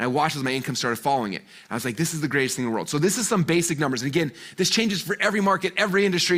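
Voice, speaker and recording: Talking at a very fast pace, a man with a fairly high pitch sounds animated, his intonation lively. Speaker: marketing speaker. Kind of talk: presentation to live online audience. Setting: live-streamed event.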